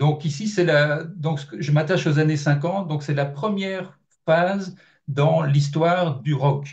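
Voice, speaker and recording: Very slow delivery from a man, with fairly even intonation. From Belgium. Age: 50s. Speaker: journalist and author. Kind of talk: interview. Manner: hesitant, many fillers.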